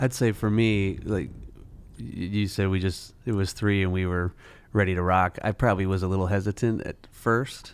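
A man's fairly low-pitched, normal speaking voice at a moderate pace, with ordinary pitch variation, in a very clean recording with a silent background. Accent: American. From Minnesota, Twin Cities southwest metro. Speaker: adoptive father and school operations business owner. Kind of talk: casual interview.

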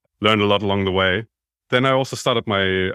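With a German accent, a man speaks at a fairly quick pace in a very deep, low pitch and a bright, sharp tone, on a very clean recording with a silent background and a dry, close sound with no echo. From Germany. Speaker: sales enablement consultant. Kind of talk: interview.

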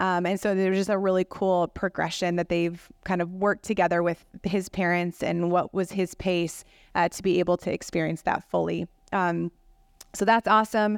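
An American accent with monotone, flat intonation comes through a dry, close sound with no echo on a very clean recording with a silent background. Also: woman, fairly low pitch for a woman, moderate pace. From Rockford, Illinois. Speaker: pastor. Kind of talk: panel conversation.

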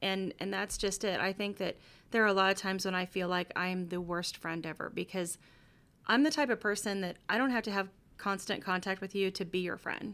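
Bright and sharp in tone, a woman with an American accent speaks fairly quickly with fairly even intonation. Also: medium pitch for a woman, very clean recording, silent background. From Missouri, Kansas City. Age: 40s. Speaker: podcast host and pastor. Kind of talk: bible teaching; casual chat.

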